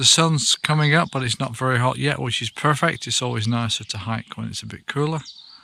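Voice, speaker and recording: There is noticeable background noise as a man talks at a moderate pace. His medium pitch holds a fairly even intonation. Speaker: hiker vlogger. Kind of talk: vlog narration. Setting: public bathroom; outdoors. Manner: soft-spoken.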